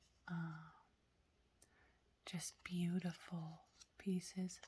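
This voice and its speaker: Soft-spoken delivery at a very slow pace. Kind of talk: soft-spoken ASMR show-and-tell.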